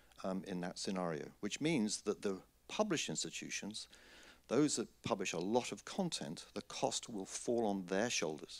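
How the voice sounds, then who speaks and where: A man with a British accent speaks at a fairly low pitch, his intonation lively. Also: moderate pace. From Britain. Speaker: conference speaker on scholarly publishing. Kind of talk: conference talk. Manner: hesitant, frequent fillers.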